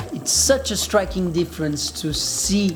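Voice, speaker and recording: The speaker has a Portuguese accent. Background noise is noticeable. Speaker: travel vlogger and surfer. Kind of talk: vlog narration. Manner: casual.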